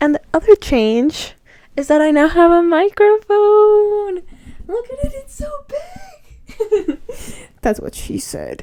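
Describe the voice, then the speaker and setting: A soft-spoken woman with a non-native accent talks in a dark, mellow tone. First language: not English. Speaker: book vlogger. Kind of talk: casual chat. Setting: in bed at home.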